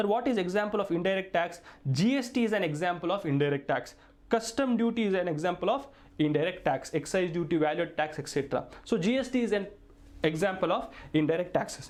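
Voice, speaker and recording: Audible room echo surrounds a man's high voice. He talks very fast with lively intonation and very even loudness. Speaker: tax lecturer. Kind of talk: lecture.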